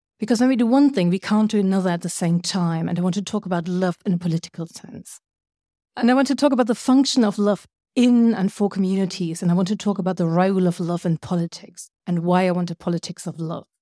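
Very fast speech from a woman in a German accent, medium-pitched with a dark, mellow tone and ordinary pitch variation, dry and close with no echo on a very clean recording with a silent background. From Germany. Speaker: writer and cultural scientist. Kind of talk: lecture.

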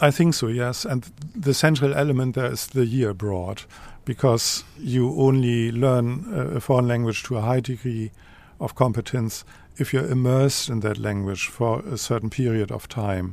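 With a German accent, a man talks using ordinary pitch variation. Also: medium pitch for a man, moderate pace. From Germany, Lower Saxony. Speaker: professor of modern languages. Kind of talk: casual interview.

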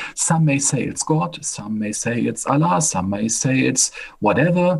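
A man with a German accent speaks fairly slowly at a medium pitch, somewhat breathy, with lively intonation. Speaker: professor and medical doctor. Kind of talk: interview.

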